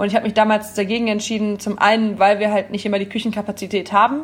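Somewhat breathy and medium in pitch, a woman talks at a very fast pace. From Rhineland, Oberbergischer Kreis (Wipperfürth). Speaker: café owner. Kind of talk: casual interview.

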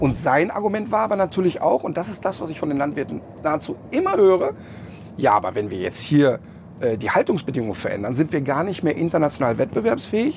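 Over noticeable background noise, a man with a fairly high pitch talks at a fairly quick pace, his pitch swinging very widely. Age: 50s. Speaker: animal welfare presenter. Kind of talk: interview. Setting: in a tour bus.

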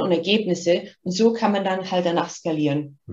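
Her voice carries a somewhat breathy quality. The speaker is a woman. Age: 50s. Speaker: marketing executive. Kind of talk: interview.

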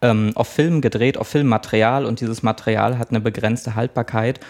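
In a very clean recording with a silent background, a man with a slight Mecklenburg accent speaks at a fairly quick pace in a medium pitch, his intonation monotone and flat. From Mecklenburg, Schwerin. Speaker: press officer of a film foundation. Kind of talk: interview.

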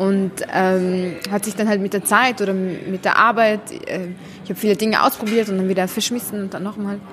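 With crowd noise in the background, a woman speaks at a moderate pace and medium pitch with fairly even intonation. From Syria, Damascus. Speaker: author and illustrator. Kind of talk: interview. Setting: café.

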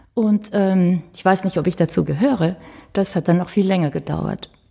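A woman with a dark, mellow tone and a somewhat breathy sound talks at a moderate pace, her pitch varying in an ordinary way. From Romania, German minority family. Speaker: violinist. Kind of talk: casual interview. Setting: ensemble house.

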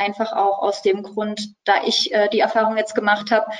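A woman at a moderate pace with a fairly high pitch. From Saxony, Dresden. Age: 20s. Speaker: pharmacy student. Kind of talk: interview. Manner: hesitant, many filler sounds.

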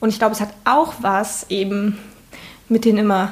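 Speaking at a moderate pace, a woman has a medium pitch and fairly even intonation. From eastern Germany, Saxony-Anhalt. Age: 20s. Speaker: state parliament member. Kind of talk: interview. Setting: home kitchen.

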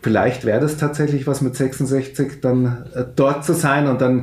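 Audible room echo and noticeable background noise around a man's speech. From Upper Bavaria, Fürstenfeldbruck near Munich. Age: 50s. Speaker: club owner and city councillor. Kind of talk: interview. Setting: video call.

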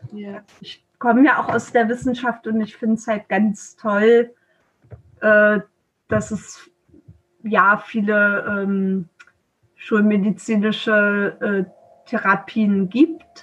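A woman's fairly high, somewhat breathy voice at a very slow pace, with long, frequent pauses, fairly even intonation and big swings in loudness. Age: 40s. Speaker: traditional Chinese medicine practitioner. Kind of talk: interview. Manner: hesitant, many filler sounds.

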